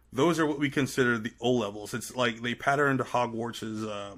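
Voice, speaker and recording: A man's medium-pitched, bright and sharp voice with an American accent, ordinary pitch variation, and a very clean recording over a silent background. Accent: American accent, switching from Trinidadian. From Trinidad and Tobago. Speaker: podcaster and media producer. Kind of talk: casual interview chat. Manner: halting, many fillers.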